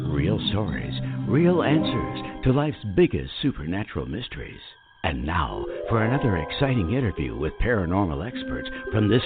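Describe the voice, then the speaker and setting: A man at a moderate pace, his pitch swinging very widely, with music in the background. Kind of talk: radio show intro.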